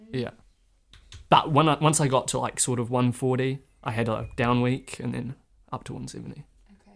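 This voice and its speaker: In a New Zealand accent, a man speaks with monotone, flat intonation and vocal fry, leaving long, frequent pauses. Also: medium pitch for a man, moderate pace. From New Zealand, Northland. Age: 20s. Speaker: ultramarathon runner. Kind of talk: interview.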